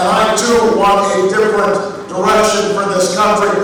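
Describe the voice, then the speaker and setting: The delivery is moderately paced. Noise in the background is noticeable. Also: man. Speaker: politician, presidential candidate. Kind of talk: campaign rally speech.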